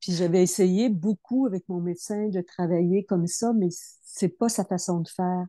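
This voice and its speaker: Using a Quebec accent, a woman with a dark, mellow tone at medium pitch speaks at a moderate pace with fairly even intonation and hardly any pauses, in a dry, close sound with no echo. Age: 70s. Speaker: program participant. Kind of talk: testimony. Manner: halting.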